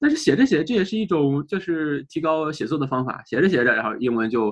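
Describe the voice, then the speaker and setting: Against a quiet background, a man with a fairly high pitch speaks at a fairly quick pace with lively intonation. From China. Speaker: English teaching content creator. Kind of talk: interview. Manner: halting, many fillers.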